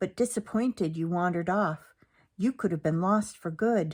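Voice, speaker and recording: A female-sounding put-on character voice at a middle pitch, spoken at a moderate pace on a very clean recording with a silent background. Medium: read story.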